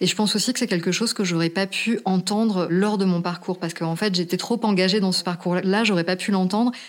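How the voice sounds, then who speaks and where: Using a normal speaking voice, a woman talks at a fairly quick pace with a medium pitch and very even loudness. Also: fairly even intonation. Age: 40s. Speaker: podcast interviewee sharing personal story. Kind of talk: testimony.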